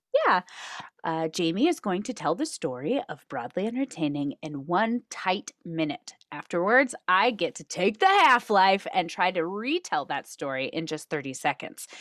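Pitch swings very widely at a moderate pace. The sound is dry and close, with no echo. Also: woman, medium pitch for a woman. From Reno, Nevada. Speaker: podcast co-host. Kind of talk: casual chat.

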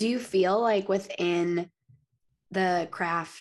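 This woman has an ordinary speaking voice with a medium pitch. Her intonation stays fairly even. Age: 30s. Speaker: podcast host. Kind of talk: casual interview chat.

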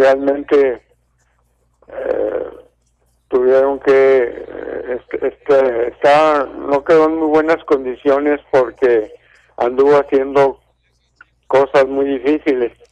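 A man speaks at a very slow pace with long, frequent pauses. His fairly high pitch stays monotone and flat. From Durango, Mexico. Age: 70s. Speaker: radio caller, retired pensioner. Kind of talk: phone-in call. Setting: phone call.

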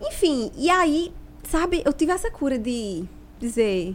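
A woman speaks with a Paraíba accent. Her pitch swings very widely. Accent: northeastern Brazilian (Paraíba). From Paraíba interior, Brazil (Picuí). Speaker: doula. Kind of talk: casual chat.

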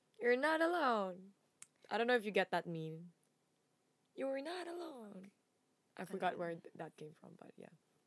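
With a Filipino accent, a woman talks at a moderate pace and a fairly high pitch, her pitch swinging very widely and her loudness rising and falling sharply, broken by long, frequent pauses. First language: Tagalog. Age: 20s. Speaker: podcast co-host. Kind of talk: casual chat.

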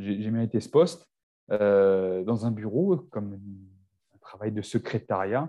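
A man with a dark, mellow tone and fairly low pitch talks at a very slow pace, using ordinary pitch variation and leaving long, frequent pauses. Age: 40s. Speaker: naturopath and nutrition coach. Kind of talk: casual chat.

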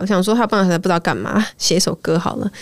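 An unremarkable speaking voice from a woman, medium in pitch, with ordinary pitch variation. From Malaysia. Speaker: singer-songwriter. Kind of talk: interview. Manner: code-switching with English.

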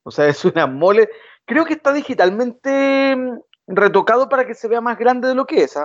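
Here is a man with a Chilean accent. His pitch is extremely high, and his pace is moderate. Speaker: podcast co-host. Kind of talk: casual chat.

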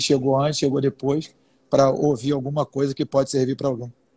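A man's dark, mellow voice races along at a very fast pace with monotone, flat intonation. The sound is dry and close, with no echo. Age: 30s. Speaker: entrepreneur and business lecturer. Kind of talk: casual live-stream conversation.

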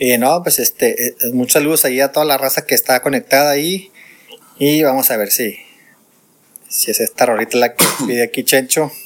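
A man's fairly high voice at a fairly quick pace, ordinary pitch variation, and long, frequent pauses. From northern Mexico. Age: 40s. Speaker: podcast host. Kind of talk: casual chat. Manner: halting.

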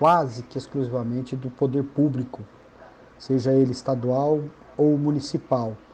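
This man speaks at a medium pitch and a fairly slow pace, in a monotone with flat intonation. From Paraná, southern Brazil. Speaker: sports federation president. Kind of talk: interview.

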